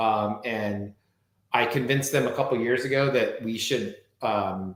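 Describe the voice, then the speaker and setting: A man with an American accent talks at a fairly slow pace. It is an ordinary speaking voice, medium in pitch with ordinary pitch variation. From Southern California. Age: 50s. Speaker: wine expert and author. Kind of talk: casual chat.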